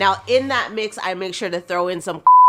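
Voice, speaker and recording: Music plays in the background as a woman speaks. Her tone is animated and her pace fairly quick. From Canada. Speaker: cooking vlogger. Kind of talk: cooking tutorial.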